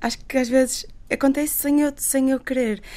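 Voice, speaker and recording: A woman's high-pitched voice has a dark, mellow tone. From Portugal, Porto. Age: 20s. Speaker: doctor and humanitarian volunteer. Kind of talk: radio interview. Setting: radio studio in Porto, remote link to Lisbon.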